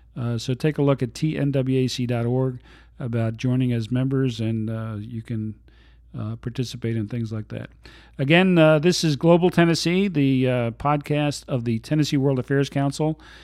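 This man has a plain, everyday voice with an American accent. His pitch is medium, with ordinary pitch variation and a fairly slow pace. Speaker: podcast host. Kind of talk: interview conversation. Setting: studio.

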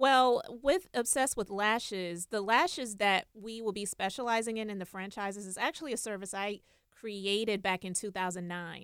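A woman with an American accent has an ordinary speaking voice at a medium pitch, with ordinary pitch variation. She talks at a moderate pace, and her loudness swings widely. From Charleston, South Carolina. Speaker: beauty entrepreneur.

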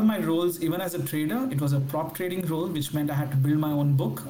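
Fairly quick, fairly high male speech amid noticeable background noise and audible room echo. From India. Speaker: fintech entrepreneur. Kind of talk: interview.

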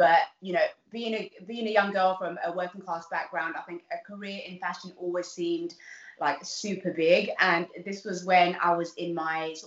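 A woman's fairly low voice in a South London accent, at a moderate pace with fairly even intonation. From Southeast London (East Dulwich). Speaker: nurse and TV presenter. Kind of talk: casual interview. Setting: video call.

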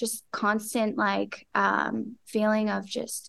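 The background stays quiet as a woman talks in a fairly high pitch. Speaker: model and actress. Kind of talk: casual interview chat. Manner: soft-spoken.

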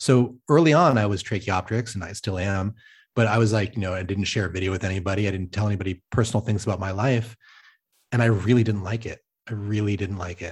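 Against a quiet background, a somewhat breathy voice speaks at a very fast pace with ordinary pitch variation. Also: man, fairly low pitch for a man. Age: middle-aged. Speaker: crypto governance designer. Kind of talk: casual chat.

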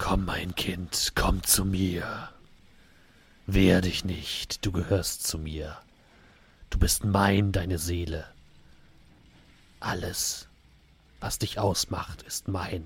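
A man's put-on character voice, very deep and low in pitch, at a very slow pace with long, frequent pauses. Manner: menacing, coaxing.

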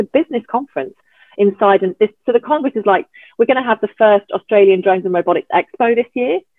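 With lively intonation, a woman speaks at a very fast pace. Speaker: environmental scientist and drone conference convener. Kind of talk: casual interview.

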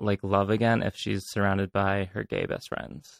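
Recorded very cleanly against a silent background with a dry, close sound and no echo, a man with an American accent and a fairly low pitch talks at a moderate pace in an ordinary speaking voice. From Connecticut. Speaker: actor and bar staff. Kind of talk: casual chat.

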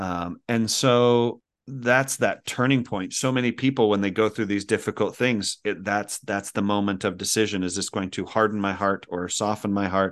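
A man with an American accent speaks at a moderate pace in a fairly low pitch, with fairly even intonation. It is a normal speaking voice, heard against a quiet background. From Utah. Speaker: speaker and coach. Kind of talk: interview.

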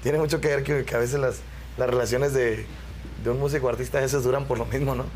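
The speech comes at a very fast pace with fairly even intonation. Noticeable background noise can be heard. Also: man. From Querétaro, Mexico. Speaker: band singer. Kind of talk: interview.

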